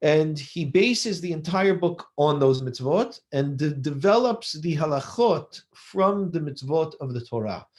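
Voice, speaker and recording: A man with a plain, everyday voice and an American accent speaks fairly slowly at a fairly high pitch, with lively intonation and hardly any pauses. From US West Coast, Los Angeles. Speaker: rabbi. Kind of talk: lecture.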